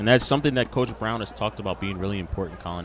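Noticeable background noise sits under a dry sound with no echo. A man talks very fast with lively intonation. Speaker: baseball color commentator. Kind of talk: sports broadcast color commentary. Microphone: headset.

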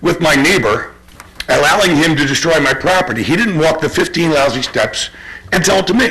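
Lively intonation marks a man's fairly high voice at a fairly quick pace. Background noise is noticeable. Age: 60s. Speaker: resident making public comment. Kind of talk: public comment at township meeting. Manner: halting.

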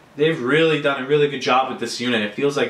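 A man speaks with fairly even intonation and a bright, sharp tone. Room echo is audible.

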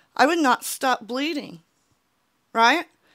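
Against a quiet background, a woman speaks high with a bright, sharp tone and lively intonation. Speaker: YouTuber. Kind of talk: personal vlog monologue; opinion commentary vlog. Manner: earnest, emotional. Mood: earnest, frustrated. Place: home room. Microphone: handheld.

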